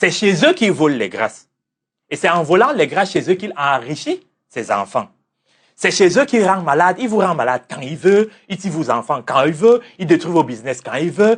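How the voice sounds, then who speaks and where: Loud and high-pitched, a man speaks at a moderate pace with very wide pitch swings. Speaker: religious teacher and life coach. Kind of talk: interview. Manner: assertive.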